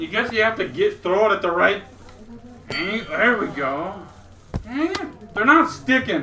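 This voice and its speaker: With light background noise behind him, a man projects a raised, high-pitched voice at a fairly slow pace, his pitch swinging very widely between long, frequent pauses. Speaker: gamer. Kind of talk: casual gameplay commentary. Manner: enthusiastic, casual. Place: home room.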